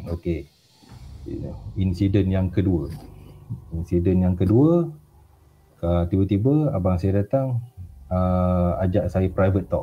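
A man speaks very slowly in a very deep, low voice, with long, frequent pauses. His loudness stays very even, and his pitch varies in an ordinary way. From Malaysia, Pahang. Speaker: guest storyteller. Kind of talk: casual storytelling interview.

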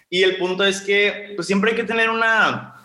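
A high-pitched man's voice with audible room echo. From Mexico, Sonora (Ciudad Obregón). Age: 20s. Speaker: law student and social entrepreneur. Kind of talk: interview. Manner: casual, filler-heavy.

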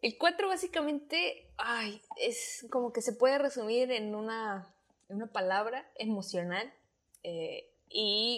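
Speaking very slowly, a woman with a fairly high voice uses lively intonation. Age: 20s. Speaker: podcaster. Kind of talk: casual chat.

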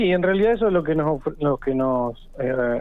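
With a Rioplatense accent, a man speaks at a moderate pace in a fairly high pitch. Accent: Argentine Spanish (rioplatense). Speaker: municipal zoonosis director. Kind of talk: radio phone interview. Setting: phone call.

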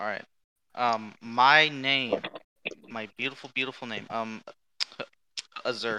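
A man speaks with a bright, sharp tone and fairly even intonation. He leaves long, frequent pauses. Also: medium pitch for a man, fairly slow pace. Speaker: tabletop game player. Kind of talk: casual tabletop game session.

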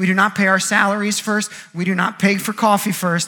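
Raising and projecting his voice, a man speaks at a moderate pace in an animated, bright, sharp tone at a high pitch. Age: 30s. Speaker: pastor. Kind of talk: sermon. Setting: church.

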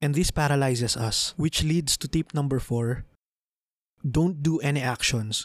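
A man with a Filipino accent speaks at a moderate pace, his fairly high pitch showing ordinary variation, in a dry, close sound with no echo. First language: Tagalog. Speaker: podcast host. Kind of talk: solo podcast monologue, Taglish.

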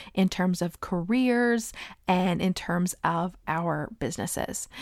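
Speaking at a fairly slow pace with ordinary pitch variation, a woman at a medium pitch uses an ordinary speaking voice on a very clean recording with a silent background. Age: 30s. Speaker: business coach podcast host. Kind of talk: solo podcast monologue. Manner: casual, with laughs.

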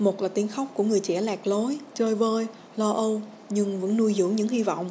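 A woman's fairly high voice keeps fairly even intonation as she talks at a moderate pace. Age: 20s. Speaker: podcast host. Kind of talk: personal reflection podcast.

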